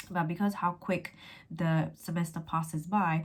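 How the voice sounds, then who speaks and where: A woman speaks in a fairly low, somewhat breathy voice with flat, monotone intonation. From England. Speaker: law graduate and tutor; tutor. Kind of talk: educational vlog. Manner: fast. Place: home room. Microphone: phone near.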